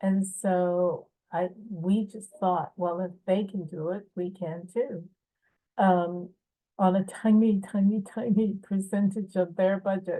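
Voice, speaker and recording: A woman with an American accent speaks at a very slow pace in a medium pitch, her tone dark and mellow and her intonation monotone and flat. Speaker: film producer and writer. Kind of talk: festival video message. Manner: hesitant, many fillers.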